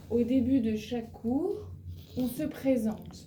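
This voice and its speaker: Audible room echo surrounds a woman who speaks very slowly in a fairly high voice. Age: 40s. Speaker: French teacher. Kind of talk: language lesson. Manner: slow, repeating words and translating into English.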